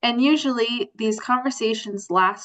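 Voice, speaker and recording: Speaking at a fairly slow pace, a woman with a normal speaking voice and a fairly high pitch shows ordinary pitch variation in a dry, close sound with no echo. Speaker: adult literacy workshop presenter. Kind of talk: workshop presentation. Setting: video call.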